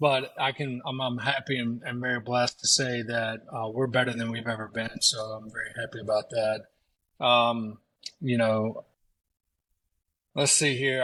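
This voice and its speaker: On a very clean recording with a silent background, a man with a Southern US accent speaks at medium pitch with fairly even intonation. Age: 40s. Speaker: pressure washing business owner, former police officer. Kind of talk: casual chat. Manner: halting, many fillers.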